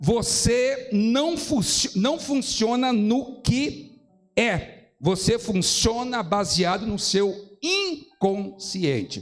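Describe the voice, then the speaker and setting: This is a man's voice. His pitch is high. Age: 60s. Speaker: pastor. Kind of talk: lecture.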